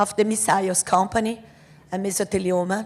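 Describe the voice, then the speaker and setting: A woman speaks with a Brazilian Portuguese accent at a medium pitch. Her pace is moderate and her intonation fairly even. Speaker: asbestos victims' advocate. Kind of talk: conference talk. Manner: halting.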